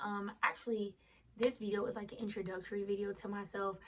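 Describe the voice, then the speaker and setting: With an American accent, this somewhat breathy voice moves at a fairly quick pace with fairly even intonation. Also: woman. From US South, Lake Charles, Louisiana. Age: 20s. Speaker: vlogger. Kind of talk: casual vlog chat. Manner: casual, conversational.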